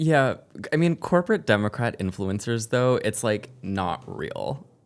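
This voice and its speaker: At a fairly slow pace, a man talks at a medium pitch with very wide pitch swings over noticeable background noise. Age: 20s. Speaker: political commentator. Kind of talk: podcast interview answer. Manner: calm, confident.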